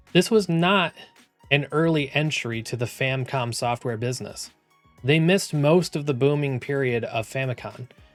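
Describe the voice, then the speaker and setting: Music plays behind a man with a fairly high pitch. He keeps a moderate pace with ordinary pitch variation. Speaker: gaming history video host. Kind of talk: video essay narration.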